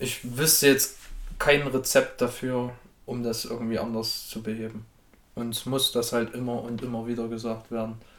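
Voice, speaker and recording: A man's medium-pitched voice at a moderate pace, flat and monotone, with big swings in loudness. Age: 20s. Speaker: podcast guest. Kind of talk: casual chat.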